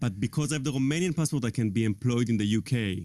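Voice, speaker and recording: A man with an Israeli accent, a dark, mellow tone, ordinary pitch variation and a very fast pace. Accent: foreign accent, Israeli. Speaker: tech guy, talk show guest. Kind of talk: casual chat.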